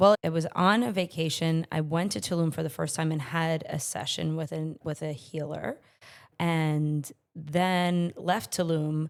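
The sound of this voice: Over a silent background in a very clean recording, a woman speaks at a fairly slow pace with a low pitch, fairly even intonation, vocal fry, a raspy quality and a slightly mellow tone.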